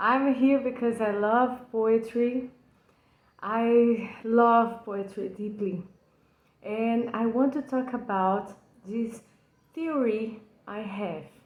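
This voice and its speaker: In a Brazilian accent, a woman with a fairly high pitch and fairly even intonation speaks at a very slow pace with long, frequent pauses and audible room echo. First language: Portuguese. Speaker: poetry enthusiast. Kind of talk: personal video lecture on a poem. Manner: halting, with frequent fillers.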